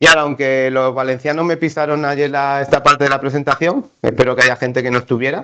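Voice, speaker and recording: A man speaks at a fairly quick pace with fairly even intonation. His voice is fairly high, with a bright, sharp tone. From Seville, Andalusia, Spain. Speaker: conference presenter, mapping agency staff. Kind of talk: conference presentation.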